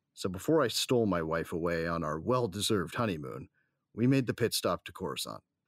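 In a very clean recording with a silent background, a man speaks at a fairly quick pace with an intense tone, vocal fry and very wide pitch swings. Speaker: audio drama actor, narrator character. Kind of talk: sci-fi audio drama first-person narration, tense and dramatic. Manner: tense, grieving, intense.

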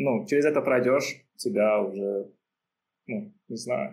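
Here a man talks with a dark, mellow tone at a fairly low pitch. His intonation stays fairly even. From Uzbekistan, Tashkent. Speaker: backend engineer. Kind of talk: casual interview chat.

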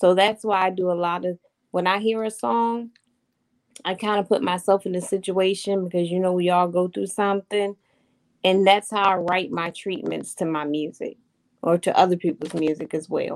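Speaking with an American accent, a woman uses a medium pitch and fairly even intonation. Her pace is moderate. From Virginia, Hampton. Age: 40s. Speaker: gospel promoter. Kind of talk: interview.

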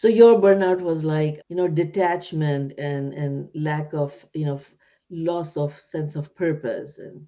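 At a fairly slow pace, a woman with a non-native accent speaks at a very deep, low pitch, her tone dark and mellow with ordinary pitch variation. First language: not English. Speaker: podcast host and psychiatrist. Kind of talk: interview; scripted outro.

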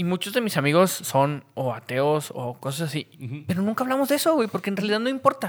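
A man speaks very fast in a high voice with hardly any pauses. His pitch swings very widely. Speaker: podcast co-host. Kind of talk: casual chat.

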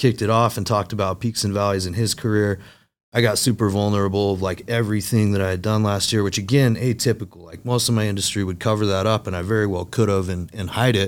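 On a very clean recording with a silent background, a man speaks at a very fast pace with a fairly low pitch and fairly even intonation. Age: 30s. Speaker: sales company vice president. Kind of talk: casual interview chat.

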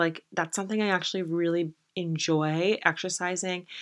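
The voice has a bright, sharp tone and an American accent. The recording is very clean, with a silent background. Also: woman. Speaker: podcast host. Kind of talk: casual solo podcast monologue. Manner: animated.

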